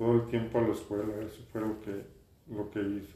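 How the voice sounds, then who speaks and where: A man is speaking. The room echo is audible. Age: 60s. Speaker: industrial designer. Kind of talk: interview. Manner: halting, many repeated words.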